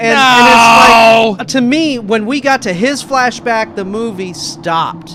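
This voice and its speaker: Over noticeable background noise, a man with an extremely high pitch uses a raised, projected voice at a very slow pace with hardly any pauses and ordinary pitch variation. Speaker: radio show co-host. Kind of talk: casual radio movie review debate.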